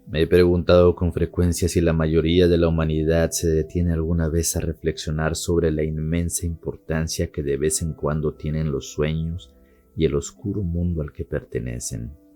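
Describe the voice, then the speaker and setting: With music in the background, the speaker keeps a moderate pace and fairly even intonation, with hardly any pauses. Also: man, very deep, low pitch for a man. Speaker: narrator. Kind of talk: horror story narration.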